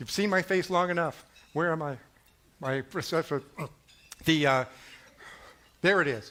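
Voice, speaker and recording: A man's fairly high voice, bright and sharp in tone, broken by long, frequent pauses. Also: ordinary pitch variation. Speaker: cybersecurity leader. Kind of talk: conference keynote. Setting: live stage. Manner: fast, quick topic switches.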